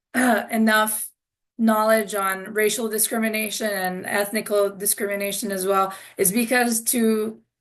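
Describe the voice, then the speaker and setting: At a fairly slow pace, a woman with a slight European accent speaks in a fairly high pitch with monotone, flat intonation. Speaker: international student panelist, tour guide. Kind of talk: Q&A panel answer.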